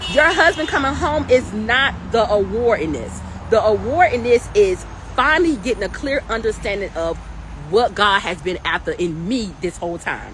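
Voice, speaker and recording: Against noticeable background noise, a woman speaks in an animated tone at a moderate pace. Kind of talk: livestream talk. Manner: loud.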